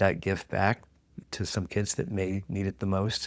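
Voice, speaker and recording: Recorded very cleanly against a silent background, a man speaks at a fairly slow pace and fairly low pitch. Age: 60s. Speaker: investment specialist and financial mentor. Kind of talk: interview. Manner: halting.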